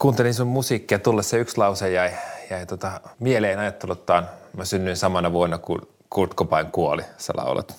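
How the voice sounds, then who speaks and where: Pitched very deep and low, a man talks at a moderate pace. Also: ordinary pitch variation. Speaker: writer and podcast host. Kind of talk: casual interview chat.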